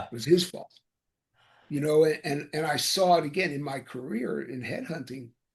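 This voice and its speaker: Fairly quick, somewhat breathy speech with ordinary pitch variation. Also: man. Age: 70s. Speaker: executive search consultant, author. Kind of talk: interview answer. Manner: hesitant, many fillers.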